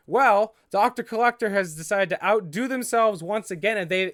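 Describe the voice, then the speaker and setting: A man speaks at a moderate pace. The recording is very clean and dry, close with no echo and a silent background. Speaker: YouTube prop collectible reviewer. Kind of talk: casual product review vlog. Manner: halting, stumbles over words; casual, chatty.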